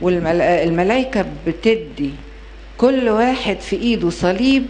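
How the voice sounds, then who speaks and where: A woman's voice over light background noise. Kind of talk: storytelling to an audience. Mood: gentle, consoling. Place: hall. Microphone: handheld.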